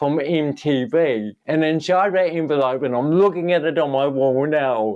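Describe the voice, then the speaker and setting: This man's voice sits fairly high, moving with ordinary pitch variation at a moderate pace. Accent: New Zealand. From New Zealand. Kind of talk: interview.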